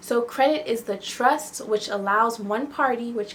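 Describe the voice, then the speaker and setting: A woman with an unremarkable speaking voice talks at a moderate pace and fairly high pitch, with ordinary pitch variation. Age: 20s. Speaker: lifestyle YouTuber. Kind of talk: casual tutorial vlog. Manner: conversational with fillers.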